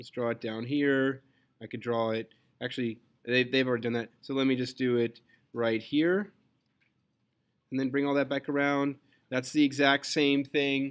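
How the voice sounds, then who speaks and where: Against a quiet background, a man talks at a moderate pace with fairly even intonation and long, frequent pauses. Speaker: physics teacher. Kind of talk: lecture. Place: classroom.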